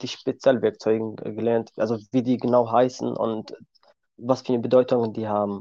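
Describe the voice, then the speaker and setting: Monotone, flat delivery from a man with a Kurdish accent, medium pitch and a moderate pace. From Syria. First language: Kurdish (speaking German). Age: 20s. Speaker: car mechanic. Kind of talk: interview. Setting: video call.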